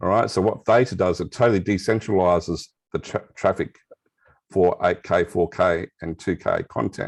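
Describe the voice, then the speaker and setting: With an Australian accent, a man speaks at a very deep, low pitch with ordinary pitch variation. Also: moderate pace. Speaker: crypto and blockchain expert. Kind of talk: interview explanation. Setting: video call with camera off.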